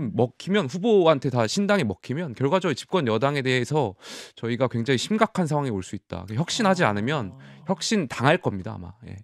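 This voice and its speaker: A man speaks fairly quickly in a fairly high pitch, with very wide pitch swings and big swings in loudness. The sound is dry with no echo against a quiet background. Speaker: ruling party politician. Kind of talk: political debate. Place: studio. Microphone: studio mic.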